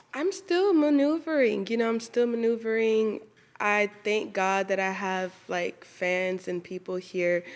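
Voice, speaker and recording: Talking at a fairly slow pace with lively intonation, the speaker has an ordinary speaking voice with an American accent. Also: woman, fairly high pitch for a woman. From Atlanta, US. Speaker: singer. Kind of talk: casual chat.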